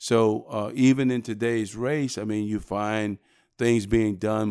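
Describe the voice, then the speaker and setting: With an American accent, a man speaks in an unremarkable speaking voice, fairly low and fairly slow, with fairly even intonation on a very clean recording with a silent background. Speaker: sheriff candidate, former police chief. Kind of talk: interview.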